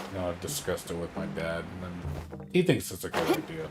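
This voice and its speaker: Moderate-paced male speech over background music. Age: 40s. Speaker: gaming streamer. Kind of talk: casual chat. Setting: home. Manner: casual.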